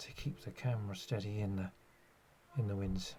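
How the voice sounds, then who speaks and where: A man speaks in a fairly low, somewhat breathy voice at a moderate pace. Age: 60s. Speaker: nature photographer. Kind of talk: narration. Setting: outdoors. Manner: halting.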